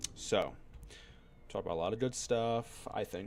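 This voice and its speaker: The speaker is a man. He talks at a moderate pace. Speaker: video game streamer. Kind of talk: casual gameplay stream chat. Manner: mellow and low. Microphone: voice a bit too quiet.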